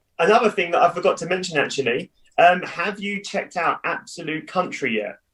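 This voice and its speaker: A man with a southern English accent, high-pitched for a man, at a fairly quick pace. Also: ordinary pitch variation. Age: 30s. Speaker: businessman and cheerleading coach. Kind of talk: casual chat.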